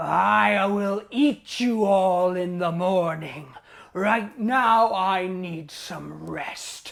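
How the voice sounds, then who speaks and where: At a very slow pace, a put-on character voice speaks at a middle pitch. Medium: stage play.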